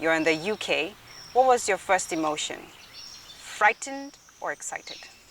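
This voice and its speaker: A woman at a fairly high pitch uses lively intonation at a moderate pace amid noticeable background noise. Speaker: interviewer, host. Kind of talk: interview host.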